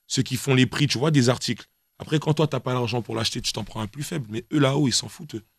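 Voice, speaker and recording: Somewhat breathy, a man talks at a very fast pace with ordinary pitch variation, the sound dry with no echo and a quiet background. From Guadeloupe. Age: 20s. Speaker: rapper; interviewee. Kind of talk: casual interview. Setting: radio studio. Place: studio. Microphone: studio mic.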